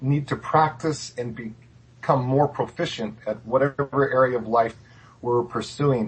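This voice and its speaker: Somewhat breathy, a man's voice unfolds at a very slow pace. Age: 60s. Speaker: clairvoyant guest. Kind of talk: interview.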